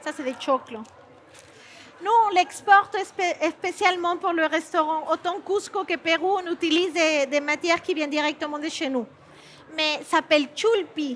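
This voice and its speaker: With a Peruvian accent, a woman speaks at a fairly slow pace and an extremely high pitch. Her pitch varies in an ordinary way, over noticeable background noise. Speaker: chef. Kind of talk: cooking demonstration. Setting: stage with audience. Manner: halting.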